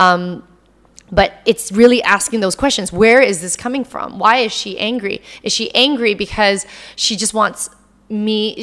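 In a normal speaking voice, a woman with a fairly high pitch talks fairly slowly, her intonation fairly even but her loudness swinging widely. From Canada. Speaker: actress and entrepreneur. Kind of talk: casual interview.

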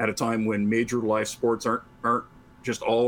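This man has an unremarkable speaking voice at a medium pitch, delivered at a moderate pace.

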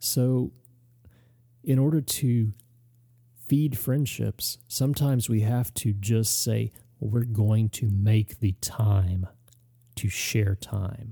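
A very slow, somewhat breathy man at medium pitch, dark and mellow in tone, with long, frequent pauses and very even loudness, on a very clean recording with a silent background. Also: ordinary pitch variation, dry, close sound with no echo. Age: 40s. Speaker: podcast host and farmer. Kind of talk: solo podcast monologue. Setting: home studio. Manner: casual.

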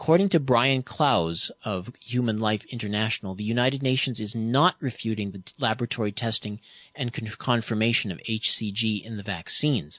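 An ordinary speaking voice moves at a moderate pace with ordinary pitch variation and hardly any pauses. The sound is dry and close with no echo, over a quiet background. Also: man, medium pitch for a man. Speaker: radio host. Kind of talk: radio interview.

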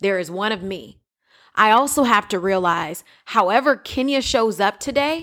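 A woman's bright, sharp voice at medium pitch with lively intonation, on a very clean recording with a silent background. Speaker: diversity and inclusion director. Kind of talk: casual chat.

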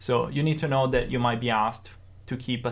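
Speaking with an Italian accent, a man has a medium pitch and vocal fry. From Italy. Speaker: sound designer. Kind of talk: casual interview.

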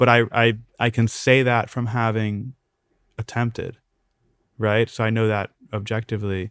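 A man with an American accent talks at a moderate pace and medium pitch in a monotone, flat delivery with long, frequent pauses, on a very clean recording with a silent background and a dry, close sound with no echo. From US, Maryland. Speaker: tech entrepreneur. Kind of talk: interview.

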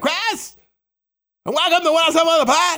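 A put-on character voice comes through at an extremely high pitch. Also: moderate pace. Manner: exaggerated, unnaturally announcer-like.

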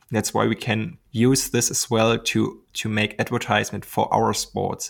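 Vocal fry in a German accent at a moderate pace. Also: man. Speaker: glider pilot and YouTuber. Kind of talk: interview. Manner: hesitant, many ums.

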